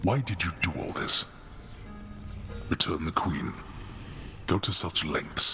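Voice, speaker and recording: A man's put-on character voice, very deep and low, over clear background noise. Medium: video game. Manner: formal, gruff.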